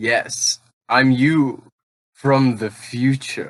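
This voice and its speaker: In a cartoonish character voice, a man speaks at medium pitch. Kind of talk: tabletop roleplay banter. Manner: cocky, playful, taunting.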